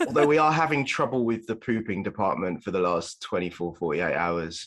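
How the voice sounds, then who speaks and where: A man with a slight Birmingham accent talks at a fairly quick pace in a fairly low pitch. His pitch swings very widely. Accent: slight Brummie. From England, Birmingham. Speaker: parenting blogger and father. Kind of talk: casual chat. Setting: at home, in basement, remote call.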